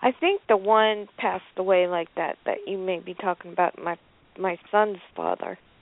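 Using a normal speaking voice, a woman speaks at a moderate pace in a medium pitch with fairly even intonation. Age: 50s. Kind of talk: casual chat.

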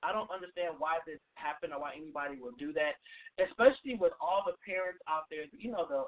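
With a dry, close sound and no echo, a man talks at a fairly quick pace with lively intonation.

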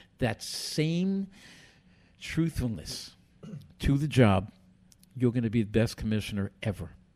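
A man at medium pitch, very slow, with lively intonation and a dark, mellow tone, in a very clean recording over a silent background. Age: 70s. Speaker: boxing commissioner and radio host. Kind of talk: casual chat.

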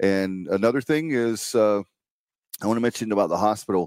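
A man talks at a fairly quick pace in a plain, everyday voice with ordinary pitch variation. The sound is dry and close with no echo, in a very clean recording with a silent background. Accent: American. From eastern North Carolina. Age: 50s. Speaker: podcast host and local political candidate. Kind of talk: campaign livestream monologue.

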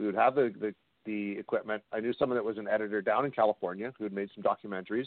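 Very fast in pace, a man speaks at a fairly low pitch with fairly even intonation. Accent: western Canadian. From Canada, British Columbia (Kamloops). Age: 40s. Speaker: paranormal investigator and documentary director. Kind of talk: interview on a call-in radio show.

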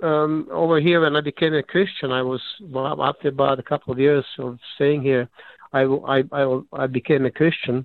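A man speaks with a Serbo-Croatian accent. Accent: Yugoslav (Serbo-Croatian). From Yugoslavia. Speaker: caller. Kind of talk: call-in comment. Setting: phone call. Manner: halting.

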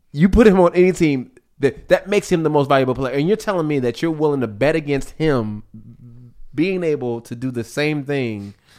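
A plain, everyday voice from a man, fairly high in pitch with lively intonation, on a very clean recording with a silent background. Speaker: musician guest.

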